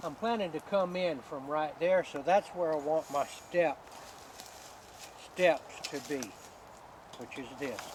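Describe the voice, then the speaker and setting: A man with a Georgia accent talks at a fairly slow pace, with long, frequent pauses and a fairly high pitch. His pitch varies in an ordinary way, his loudness swings widely, and noticeable background noise runs underneath. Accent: US Southern (Georgia). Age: 70s. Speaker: hunter. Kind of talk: tutorial. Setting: outdoors.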